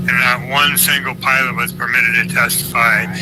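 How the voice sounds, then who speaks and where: A man talks at a moderate pace with an American accent. Room echo is audible, and there is noticeable background noise. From United States. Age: 70s. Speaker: retired airline pilot and whistleblower. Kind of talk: online audio chat, guest account. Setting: public online audio space.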